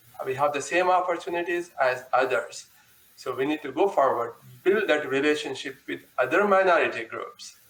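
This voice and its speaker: With noticeable background noise behind him, a man speaks at a moderate pace, fairly high in pitch, with ordinary pitch variation. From India. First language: not English (fourth language). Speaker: panelist. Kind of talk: panel discussion.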